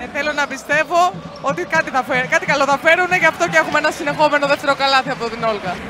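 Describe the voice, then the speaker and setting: Crowd noise fills the background as a woman projects a raised voice with a confident tone. Her pitch is high, with ordinary variation, and her pace is very fast. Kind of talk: sports commentary. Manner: analytical, confident, praising players.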